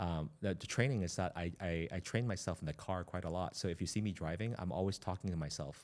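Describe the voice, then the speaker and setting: On a very clean recording with a silent background, a man with a very deep, low pitch talks very fast with hardly any pauses and ordinary pitch variation. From Hong Kong, moved to US at age eight. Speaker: economic development executive. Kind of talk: interview conversation. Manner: frequent fillers and self-corrections.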